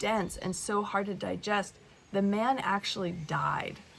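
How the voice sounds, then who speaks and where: A woman talks at a very slow pace. Background noise is noticeable. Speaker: spiritual teacher vlogger. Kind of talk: casual vlog monologue. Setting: wellness center retreat.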